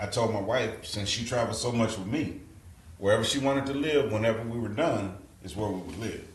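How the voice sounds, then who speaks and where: With an American accent and a medium pitch, a man talks at a fairly quick pace with ordinary pitch variation, amid noticeable background noise and audible room echo. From Texas, Fort Worth. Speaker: retired soldier. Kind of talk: casual interview chat.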